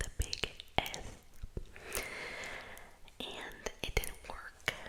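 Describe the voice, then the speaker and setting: A woman whispers over noticeable background noise. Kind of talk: ASMR whispered personal ramble. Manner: whispered.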